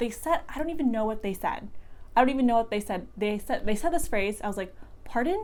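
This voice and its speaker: A woman with an American accent, fairly high-pitched, lively in intonation and very fast in pace. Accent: American accent, noticed by locals. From United States. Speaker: vlogger. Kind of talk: casual vlog. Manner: casual, filler-heavy.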